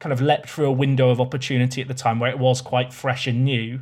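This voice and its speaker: A somewhat breathy man rushes along at a very fast pace in a monotone, flat intonation. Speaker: streamer and YouTuber. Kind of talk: casual chat.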